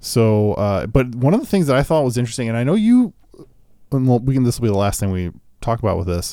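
A man with a medium pitch and a dark, mellow tone talks at a very fast pace with lively intonation. The recording is very clean, with a silent background. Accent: Midwestern. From US Midwest. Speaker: podcast host, guitar gear. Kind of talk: casual chat. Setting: studio.

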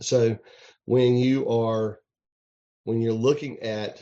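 With a Southern US accent, a man talks at a very slow pace at a medium pitch in a dark, mellow tone. His intonation is fairly even, and the background is quiet. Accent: US South. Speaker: home inspector and realtor. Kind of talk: interview. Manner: halting with fillers.

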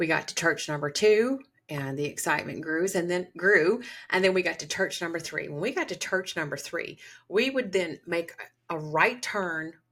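An unremarkable speaking voice from a woman, fairly low in pitch, with ordinary pitch variation and a moderate pace, on a very clean recording with a silent background. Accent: American. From US South, Georgia. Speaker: podcast host and holistic psychiatry provider. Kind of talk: storytelling monologue.

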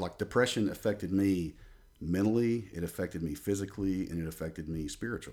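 A man with an Alabama accent talks at a fairly quick pace in a fairly low pitch, his tone dark and mellow. His intonation is lively, and the recording is very clean with a silent background. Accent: US Southern (Alabama). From Alabama, near Birmingham. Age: 30s. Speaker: jiu-jitsu practitioner, former wrestler. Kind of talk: casual chat.

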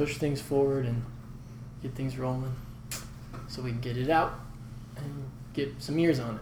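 Soft-spoken and somewhat breathy, a man with an American accent speaks in a monotone, flat intonation, with audible room echo. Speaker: singer and songwriter. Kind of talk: casual chat. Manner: calm and even.

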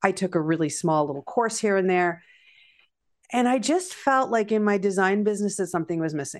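A woman with a Canadian accent talks at a fairly quick pace in a plain, everyday voice of medium pitch, with lively intonation and a quiet background. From Canada. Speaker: feng shui teacher. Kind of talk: interview.

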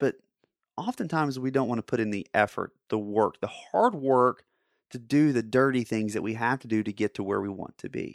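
Recorded very cleanly against a silent background, a man with an unremarkable speaking voice talks at a medium pitch and moderate pace with ordinary pitch variation. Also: dry, close sound with no echo. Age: 30s. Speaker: podcast host. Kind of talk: motivational monologue.

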